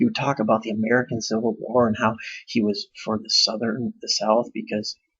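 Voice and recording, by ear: A natural voice reading text aloud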